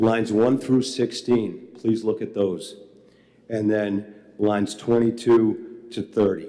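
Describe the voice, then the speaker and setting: In a Boston accent, a man speaks at a very slow pace with monotone, flat intonation. His voice sits at a medium pitch with a dark, mellow tone. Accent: Boston accent (Charlestown). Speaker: member of the public testifying at a legislative hearing. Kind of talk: public testimony.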